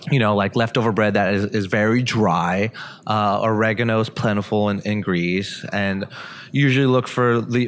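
A man with a normal speaking voice talks at a fairly low pitch and moderate pace, his loudness very even. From Montreal, Canada. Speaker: chef and restaurateur. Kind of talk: casual interview chat. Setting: in person at a food festival.

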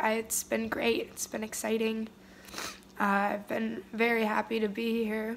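Over light background noise, a woman talks at a fairly slow pace with fairly even intonation. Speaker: vlogger. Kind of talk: casual vlog chat, emotional confession. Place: home room. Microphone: phone near.

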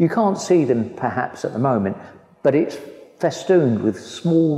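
A man talks, and audible room echo hangs around his words. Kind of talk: guided tour explanation. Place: hall.

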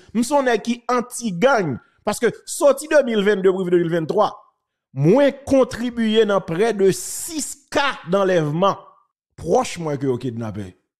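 Very wide pitch swings run through speech delivered at a very slow pace. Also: man, high pitch for a man, very clean recording, silent background. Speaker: journalist. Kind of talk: commentary.

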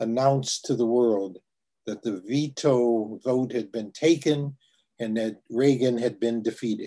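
A man with an American accent, dark, mellow tone, fairly slow pace, quiet background. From US Midwest. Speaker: activist and educator on Southern Africa; educator on Southern Africa. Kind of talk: talk and Q&A; talk to an online class. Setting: video call. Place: home room. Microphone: video call.

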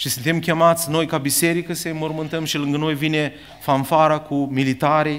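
A man's fairly high-pitched, monotone, flat delivery at a moderate pace. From Ukraine, Chernivtsi region; Ukraine. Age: 50s. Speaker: preacher. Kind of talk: sermon. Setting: church. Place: church. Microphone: podium.

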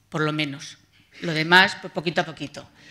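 A woman speaks at a fairly quick pace in a bright, sharp tone. The background is quiet. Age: 50s. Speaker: patient advocate. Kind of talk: testimony. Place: hall. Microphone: podium.

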